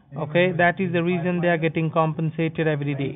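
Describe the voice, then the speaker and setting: In an unremarkable speaking voice, a man talks at a fairly quick pace. There is light background noise. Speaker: phone scammer. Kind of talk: sales pitch. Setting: phone call. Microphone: phone line.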